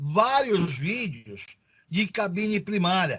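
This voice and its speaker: This man has a high pitch and talks at a very slow pace. His pitch varies in an ordinary way. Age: 60s. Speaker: technical school teacher. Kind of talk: online class lecture. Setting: video call. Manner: casual.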